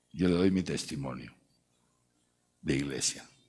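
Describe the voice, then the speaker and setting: A man talks fairly quickly in a very deep voice with vocal fry and lively intonation. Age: 60s. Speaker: archbishop. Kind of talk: lecture. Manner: animated.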